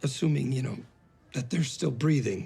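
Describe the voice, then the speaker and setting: In a raspy, put-on character voice, a man speaks at medium pitch and a moderate pace with ordinary pitch variation. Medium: short film. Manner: fast-talking, glib.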